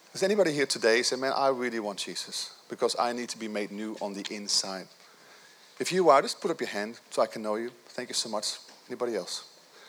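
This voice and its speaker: Over noticeable background noise, a man talks at a fairly quick pace in a medium pitch, his tone animated and his intonation lively. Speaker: pastor. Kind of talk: sermon. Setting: church.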